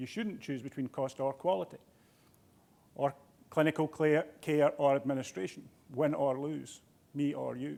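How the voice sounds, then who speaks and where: Speaking at a fairly slow pace in a Scottish accent, a man uses a fairly high pitch. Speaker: healthcare executive. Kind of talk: keynote speech. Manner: halting.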